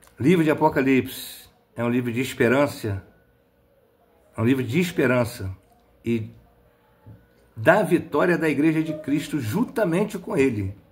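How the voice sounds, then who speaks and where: A somewhat breathy, fairly high male voice at a moderate pace, with long, frequent pauses. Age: 60s. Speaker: lay preacher. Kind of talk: sermon. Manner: animated.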